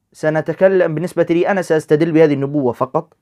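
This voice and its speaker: A high-pitched male voice at a fairly quick pace against a quiet background. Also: dry, close sound with no echo. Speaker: religious debater. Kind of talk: debate. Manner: Modern Standard Arabic.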